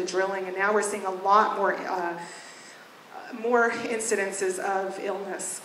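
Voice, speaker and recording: At a moderate pace, a woman speaks at medium pitch. Background noise is noticeable and room echo audible. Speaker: resident giving public testimony. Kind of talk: testimony.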